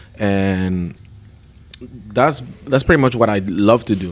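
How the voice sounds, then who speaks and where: Speaking in a Spanish accent, a man talks at a fairly low pitch with ordinary pitch variation. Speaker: chef and restaurant owner. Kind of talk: casual chat.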